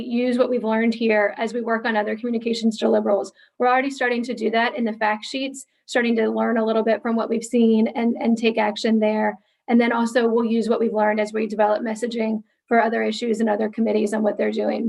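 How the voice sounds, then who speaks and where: A woman's fairly high voice at a very fast pace, in monotone, flat intonation. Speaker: staff presenter. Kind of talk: meeting presentation.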